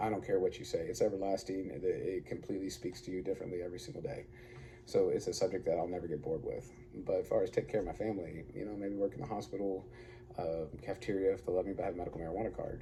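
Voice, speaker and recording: In an Arkansas accent, a man speaks at a very fast pace. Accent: US Southern (Arkansas). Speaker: online preacher / vlogger. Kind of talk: casual monologue.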